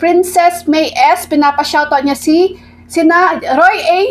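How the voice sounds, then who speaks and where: A woman's extremely high-pitched voice at a very slow pace. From Philippines. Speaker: food vlogger. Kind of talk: mukbang eating vlog. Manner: casual, giggly. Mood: satisfied, cheerful. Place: home room.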